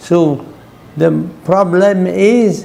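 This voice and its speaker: A man with a high-pitched voice talks amid noticeable background noise, and the room echo is audible. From France/Germany. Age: 90s. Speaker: Jesuit priest and missionary. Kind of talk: interview. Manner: halting.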